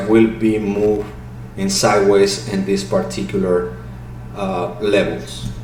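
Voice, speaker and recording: A man's very slow speech, with noticeable background noise and audible room echo. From Mexico City. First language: Spanish. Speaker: crypto market analyst. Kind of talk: technical analysis commentary. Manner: halting.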